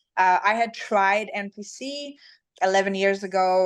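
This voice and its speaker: Against a quiet background, a woman with a Swedish accent speaks at a medium pitch. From Sweden. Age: 30s. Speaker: fitness champion. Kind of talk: interview.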